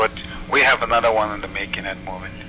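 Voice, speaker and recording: A man speaks with a Nigerian accent against noticeable background noise. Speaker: musician, bandleader. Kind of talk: interview answer. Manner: soft-spoken.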